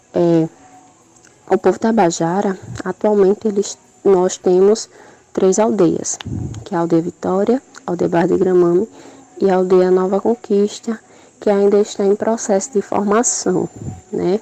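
Over noticeable background noise, a woman talks at a fairly slow pace with long, frequent pauses, fairly even intonation and very even loudness, in a dry, close sound with no echo. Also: medium pitch for a woman. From Brazil, Paraíba (João Pessoa). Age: 20s. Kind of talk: recorded testimony.

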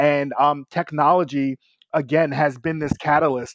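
In an ordinary speaking voice with an American accent, a man talks at a moderate pace with a fairly high pitch, the sound dry and close with no echo over a quiet background. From New York City, Brooklyn. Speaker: tech business co-founder. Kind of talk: casual interview. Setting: remote call.

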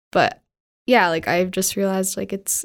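A woman's unremarkable speaking voice with a Canadian accent, medium pitch and fairly even intonation, on a very clean recording with a silent background. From Calgary, Canada. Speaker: film director. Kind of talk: casual chat.

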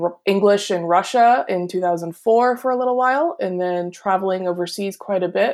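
A woman speaks in a plain, everyday voice with an American accent, medium pitch, ordinary pitch variation and a moderate pace, on a very clean recording with a silent background. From Pennsylvania, US. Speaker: advertising educator. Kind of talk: interview.

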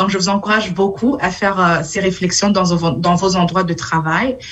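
The pace is moderate. Pitch variation is ordinary. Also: woman. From Burundi. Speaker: city councillor. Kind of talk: talk. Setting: video call from home.

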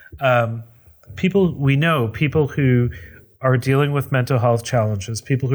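A somewhat breathy man at medium pitch, with ordinary pitch variation and a moderate pace, on a very clean recording with a silent background. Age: 40s. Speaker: housing nonprofit executive director. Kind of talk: interview.

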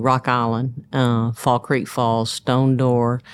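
In a Tennessee accent, a woman speaks at a fairly slow pace with a very deep, low pitch, on a very clean recording with a silent background. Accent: Southern US (Tennessee). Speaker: running store owner. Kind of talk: interview.

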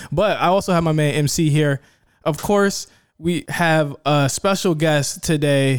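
An unremarkable speaking voice from a man with an American accent, fairly high in pitch, at a fairly slow pace with very even loudness and fairly even intonation, on a very clean recording with a silent background. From Virginia. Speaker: podcast host. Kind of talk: casual chat.

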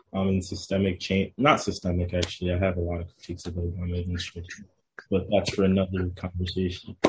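A man with an American accent speaks very fast in a very deep, low, somewhat breathy voice, monotone and flat in intonation. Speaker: town councilman. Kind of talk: radio interview.

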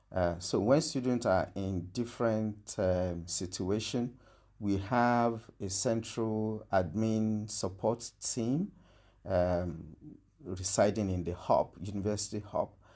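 Very slow speech from a man with a Nigerian accent, fairly low in pitch, dark and mellow in tone, with ordinary pitch variation, on a very clean recording with a silent background. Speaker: senior lecturer in petroleum engineering. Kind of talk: interview answers, fairly formal.

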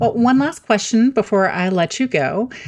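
Lively intonation and a moderate pace from a woman with a plain, everyday voice. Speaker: podcast host and communicator. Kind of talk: casual interview chat.

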